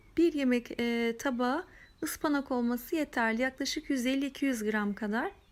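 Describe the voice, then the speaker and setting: On a very clean recording with a silent background, a woman speaks at a high pitch and a fairly slow pace. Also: ordinary pitch variation. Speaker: cooking channel host. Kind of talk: cooking tutorial.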